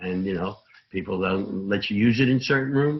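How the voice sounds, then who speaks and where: With a New York accent, the speaker talks at a fairly quick pace with ordinary pitch variation. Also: man. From Brooklyn, New York. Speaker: recovering alcoholic speaker at AA meeting. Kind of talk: recovery testimony talk. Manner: loud.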